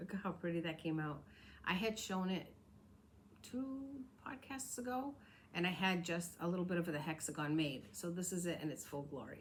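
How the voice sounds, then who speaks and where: Audible room echo surrounds a woman with an American accent, her somewhat breathy voice fairly low in pitch. Her intonation is lively, with long, frequent pauses. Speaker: crafting podcaster. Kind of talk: casual show-and-tell vlog. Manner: fast.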